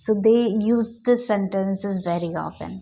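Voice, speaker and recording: A woman speaks at a fairly slow pace in a medium-pitched voice. Her tone is dark and mellow, and her intonation fairly even. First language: Hindi. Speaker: English teacher. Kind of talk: tutorial. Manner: halting.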